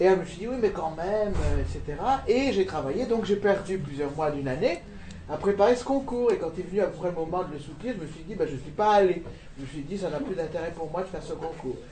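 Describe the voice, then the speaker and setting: A man talks fairly quickly at a high pitch, with lively intonation and big swings in loudness. Noticeable background noise and audible room echo are present. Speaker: conference moderator. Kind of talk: panel discussion. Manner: fast.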